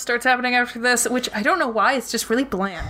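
A woman speaks in a high pitch. Noticeable background noise sits behind her voice. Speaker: podcast co-host. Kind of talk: casual chat. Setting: home basement.

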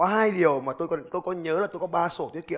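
Speaking at a moderate pace, a man sounds animated, and his pitch varies in an ordinary way. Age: 30s. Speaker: business coach and motivational speaker. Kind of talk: motivational seminar talk.

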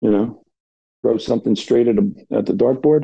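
A man speaks with a New Jersey accent. His pace is moderate. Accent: New Jersey American. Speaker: blind darts player, retiree. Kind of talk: podcast interview.

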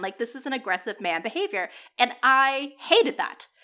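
A woman raises and projects her high, bright and sharp voice at a moderate pace, her pitch swinging very widely. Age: 30s. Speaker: podcast co-host reviewing romantic comedies. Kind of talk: casual chat.

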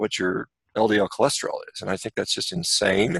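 Close and dry with no echo, a man's voice moves at a fairly quick pace. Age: 50s. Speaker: physician and athlete. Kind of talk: interview. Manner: halting.

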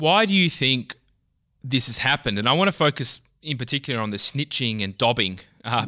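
In an Australian accent, a man speaks at medium pitch with a bright, sharp tone, the sound dry and close with no echo on a very clean recording with a silent background. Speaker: think tank researcher, podcast host. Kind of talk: interview.

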